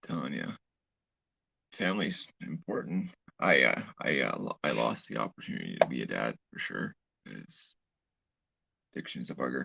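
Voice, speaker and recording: The speaker has a Canadian accent and a moderate pace, with long, frequent pauses. The sound is dry and close, with no echo. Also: man. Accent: Canadian, others remark on it. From Canada. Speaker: live streamer. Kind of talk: casual live stream chat. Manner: halting, repeats words.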